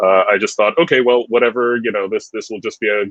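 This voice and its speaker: A man speaks in a dry, close recording without any echo. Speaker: classical singer. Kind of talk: interview. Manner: halting.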